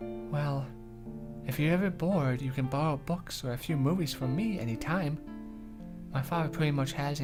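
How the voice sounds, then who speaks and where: Over music in the background, a man speaks at a moderate pace in a fairly high pitch. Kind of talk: visual novel read-aloud.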